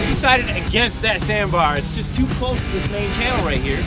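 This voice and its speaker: The speech moves at a very fast pace. Loud music plays in the background. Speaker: sailboat skipper vlogger. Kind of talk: casual vlog chat. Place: boat. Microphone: phone near.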